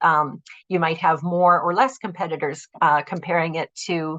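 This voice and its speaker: Her fairly low pitch and fairly even intonation give this woman a plain, everyday voice. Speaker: employment support presenter. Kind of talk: web conference presentation.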